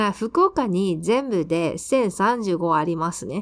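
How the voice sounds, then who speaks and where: Her pitch swings very widely as the woman speaks with a Taiwanese accent. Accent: Taiwanese Mandarin. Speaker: Japanese language tutor and podcast host. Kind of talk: language lesson explaining news.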